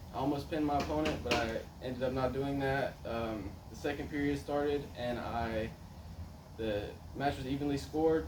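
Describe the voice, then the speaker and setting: Fairly high-pitched male voice at a moderate pace, with ordinary pitch variation and noticeable background noise. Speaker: wrestler. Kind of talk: personal story speech. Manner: hesitant, many fillers.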